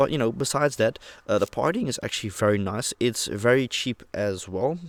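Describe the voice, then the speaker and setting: Recorded dry and close with no echo, a man with a Dutch accent speaks at medium pitch with lively intonation. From Netherlands, Rotterdam. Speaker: vlogger. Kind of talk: casual monologue. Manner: casual, conversational.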